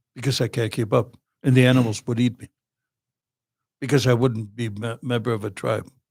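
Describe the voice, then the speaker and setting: Long, frequent pauses run through this man's speech. His voice is medium in pitch, somewhat breathy and fairly even in intonation. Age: 70s. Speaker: war veteran. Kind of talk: podcast interview.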